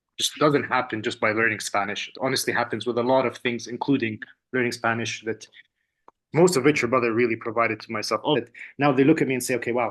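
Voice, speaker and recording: A man with an Arabic accent at a medium pitch, very fast pace and fairly even intonation. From UAE. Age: 30s. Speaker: language student and entrepreneur. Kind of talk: testimonial interview. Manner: casual, halting with many fillers and repeats.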